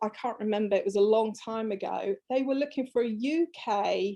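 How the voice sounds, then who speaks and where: With an English accent, a woman speaks at a moderate pace in a fairly high pitch and a dark, mellow tone against a quiet background. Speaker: fabric designer. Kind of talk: interview.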